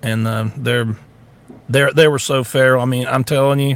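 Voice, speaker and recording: This man has a North Florida accent, a medium pitch and ordinary pitch variation. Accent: country Southern, North Florida. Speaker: podcast host, social media personality. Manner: casual, folksy.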